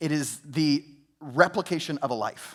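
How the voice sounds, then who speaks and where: Speaking at a moderate pace, a man with a fairly high voice is heard on a very clean recording against a silent background. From US South, Georgia family roots. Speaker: pastor. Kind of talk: sermon. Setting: church. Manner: conversational, with filler words.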